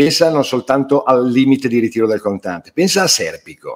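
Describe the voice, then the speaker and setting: The background stays quiet. A man's intonation is lively throughout. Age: 60s. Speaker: writer and publisher; interviewee. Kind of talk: interview. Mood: earnest, indignant. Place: home room. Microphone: webcam.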